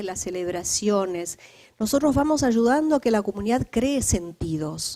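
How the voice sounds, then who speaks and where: A woman's fairly high, dark and mellow voice with a Uruguayan accent, lively intonation, moderate pace, and a dry, close sound with no echo. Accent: Uruguayan Spanish, noticeable. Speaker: lecturer on community resilience and spirituality. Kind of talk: lecture.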